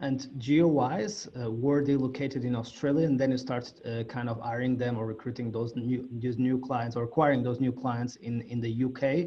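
In a plain, everyday voice, the speaker goes at a fairly slow pace with fairly even intonation. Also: man. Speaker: podcast host. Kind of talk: interview.

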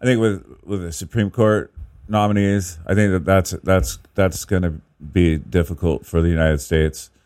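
A man with an American accent speaks in a relaxed tone at a very deep, low pitch and a moderate pace, with ordinary pitch variation. The recording is very clean, with a silent background. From Northern California. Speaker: spoken word poet. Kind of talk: casual interview chat. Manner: relaxed, easygoing.

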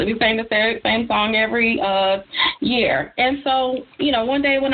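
The woman talks at a fairly high pitch with fairly even intonation.

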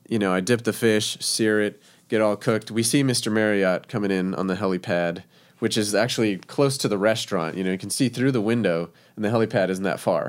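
In a very clean recording with a silent background, a man with an unremarkable speaking voice talks fairly quickly, fairly low in pitch and with fairly even intonation. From Texas, El Paso. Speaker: chef, food truck owner. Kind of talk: casual interview chat.

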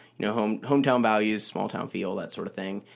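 An ordinary speaking voice from a man with an American accent, medium pitch and fairly even intonation, on a very clean recording with a silent background. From US Mid-Atlantic, DC suburbs. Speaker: newspaper reporter. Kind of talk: casual interview.

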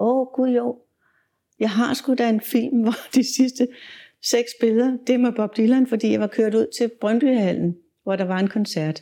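Her pitch varies in an ordinary way. The woman's tone is dark and mellow. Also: fairly slow pace. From Denmark, inner Copenhagen. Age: 70s. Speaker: music photographer. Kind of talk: interview storytelling.

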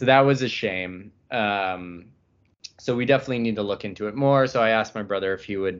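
The man's pitch variation is ordinary. He keeps a fairly quick pace. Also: fairly low pitch for a man. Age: 20s. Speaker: car podcast co-host. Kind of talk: casual chat.

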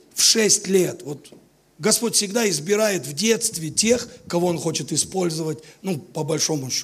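A man talks in a high pitch at a moderate pace. His pitch variation is ordinary. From Latvia, Riga. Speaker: visiting preacher. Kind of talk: sermon.

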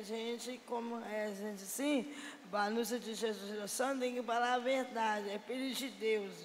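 Speech comes at a fairly slow pace, with audible room echo. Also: woman. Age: 30s. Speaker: homeless person. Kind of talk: casual chat. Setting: church. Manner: halting.

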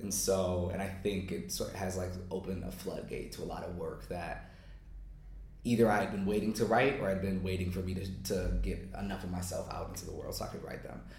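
A man with an American accent talks at a fairly quick pace. Noticeable background noise can be heard. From United States. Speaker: poet. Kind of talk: interview.

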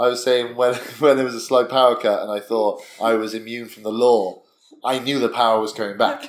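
At a fairly quick pace, a man speaks in a medium pitch with monotone, flat intonation and big swings in loudness. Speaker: podcast co-host. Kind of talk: casual chat over drinks.

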